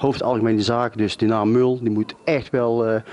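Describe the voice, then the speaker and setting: A man speaks at a moderate pace. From Netherlands, North Brabant (Oisterwijk); North Brabant, Netherlands. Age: 50s. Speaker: author. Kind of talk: interview. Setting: bookshop. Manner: hesitant, many fillers. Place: shop. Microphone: handheld.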